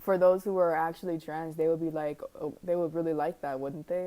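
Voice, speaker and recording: At a moderate pace, a woman speaks in a fairly low pitch with a dark, mellow tone. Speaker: reaction youtuber. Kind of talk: reaction commentary. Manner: halting, hesitant.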